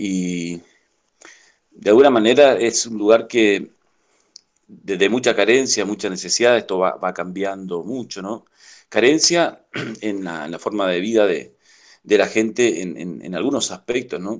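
Speaking fairly slowly with long, frequent pauses, a man uses a fairly low pitch with ordinary pitch variation. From Chaco, Argentina (Villa Ángela). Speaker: industrial technician, community water project worker. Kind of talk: interview. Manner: halting.

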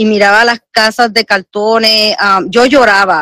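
A woman's fairly high voice, bright and sharp in tone, with fairly even intonation and a dry, close sound free of echo. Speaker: host's mother, regular caller. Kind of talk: casual chat. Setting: internet call with Bluetooth earphones.

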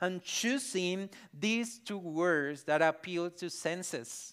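The pace is very slow. A man talks with a Spanish accent. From Colombia, Barranquilla (Caribbean coast). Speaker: pastor. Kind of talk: sermon. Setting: church.

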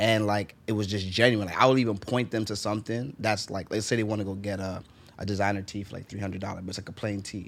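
A man with a New York accent, fairly low in pitch, at a very fast pace. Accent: New York English, learned American. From Jamaica, raised in New York. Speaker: fashion designer. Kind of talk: casual chat. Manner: animated.

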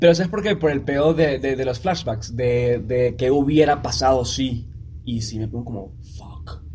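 A man with a Venezuelan accent speaks at a moderate pace and medium pitch, his dark, mellow, somewhat breathy tone carrying lively intonation, big swings in loudness and audible room echo. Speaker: podcast co-host. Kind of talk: casual chat.

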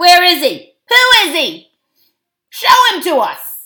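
A put-on character voice growls with a bright, sharp tone, very wide pitch swings, and a slow pace. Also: woman, extremely high pitch for a woman.

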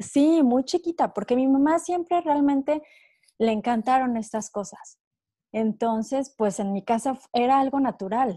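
Against a quiet background, a woman with a high pitch and a dark, mellow tone speaks fairly slowly with lively intonation, the sound dry and close with no echo. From Mexico. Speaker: wellness coach. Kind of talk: interview.

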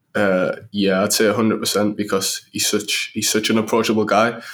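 A man's fairly low voice in a Sunderland accent, on a very clean recording with a silent background. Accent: Mackem (Sunderland). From northeast England, Sunderland. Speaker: professional footballer. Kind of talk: interview.

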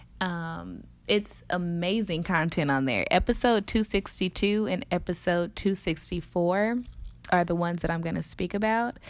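A woman talks at a moderate pace in a plain, everyday voice, fairly low in pitch with ordinary pitch variation. The recording is very clean, with a silent background. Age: 20s. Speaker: podcast host and yoga teacher. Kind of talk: solo podcast monologue. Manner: casual, conversational.

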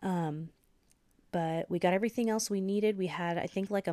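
A woman with an ordinary speaking voice and fairly even intonation talks at a moderate pace, in a dry, close sound with no echo on a very clean recording with a silent background. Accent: American. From US Pacific Northwest, Washington State. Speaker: esthetician and podcast host. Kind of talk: solo podcast monologue.

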